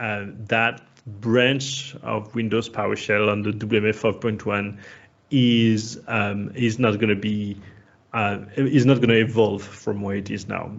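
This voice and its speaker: At a fairly slow pace, a man speaks in a fairly low pitch with vocal fry. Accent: French. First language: French. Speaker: software community expert. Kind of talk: technical talk.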